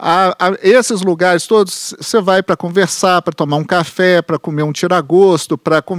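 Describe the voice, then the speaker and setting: A high-pitched man speaks at a moderate pace with fairly even intonation, in a dry, close sound with no echo. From Belo Horizonte, Minas Gerais, Brazil (Venda Nova). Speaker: historian and author. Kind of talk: interview.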